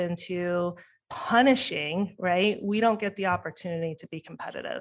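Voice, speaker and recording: In a very clean recording with a silent background, a woman with an American accent uses a normal speaking voice at a medium pitch, a moderate pace and ordinary pitch variation. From New York. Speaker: political candidate and company CEO. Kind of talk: casual interview. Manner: fluent, conversational.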